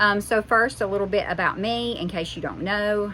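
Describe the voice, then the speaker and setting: A woman with a Southern US accent. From US South. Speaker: homesteading mom vlogger. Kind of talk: casual vlog monologue. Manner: halting, with fillers.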